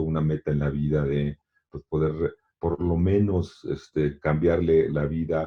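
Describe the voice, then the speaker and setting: Monotone and flat, a man's very deep, low voice barely changes in intonation. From Mexico. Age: 60s. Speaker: long-distance swimmer and author. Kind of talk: interview. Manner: halting, many repetitions and fillers.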